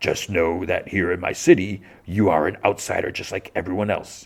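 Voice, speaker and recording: A man puts on a character voice, very deep and low in pitch. His intonation is monotone and flat, at a moderate pace. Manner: menacing.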